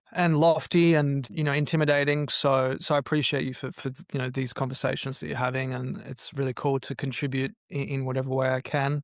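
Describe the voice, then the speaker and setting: Fairly high for a man, this voice has an Australian accent and fairly even intonation, moving at a fairly quick pace with hardly any pauses. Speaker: mental health entrepreneur, podcast guest. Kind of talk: podcast interview. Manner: halting, many fillers and repetitions.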